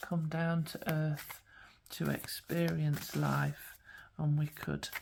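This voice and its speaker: A woman speaks at a very deep, low pitch. Her tone is gentle and warm, and somewhat breathy. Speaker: spiritual guidance coach and tarot card reader. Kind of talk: pick-a-card tarot reading to camera. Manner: gentle, warm, soothing.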